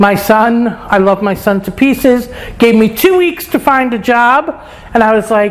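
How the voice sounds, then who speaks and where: Through noticeable background noise, a woman with a New York accent speaks at a fairly slow pace in a fairly high pitch with lively intonation. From New York, Brooklyn. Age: 60s. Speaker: lifestyle vlogger. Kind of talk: casual vlog monologue. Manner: casual, frank.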